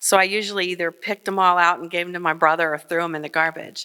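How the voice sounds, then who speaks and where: A woman with a Midwestern American accent speaks in a fairly low voice with a bright, sharp tone and monotone, flat intonation. The recording is very clean, with a silent background. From Kenton, Ohio. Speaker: journalist. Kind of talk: live personal storytelling on stage. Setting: stage before live audience.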